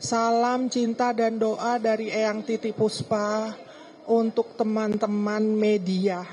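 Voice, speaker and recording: Over a quiet background, a woman with a fairly high pitch speaks at a very slow pace in a monotone, flat intonation. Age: 60s. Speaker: bereaved family member. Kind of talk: press statement.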